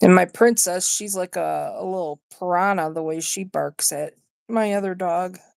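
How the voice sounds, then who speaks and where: Speaking with an American accent at a moderate pace and medium pitch, a woman is heard in a dry, close sound with no echo. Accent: partial yooper. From Wisconsin, US Upper Midwest. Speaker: livestreamer. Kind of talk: casual chat. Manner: halting.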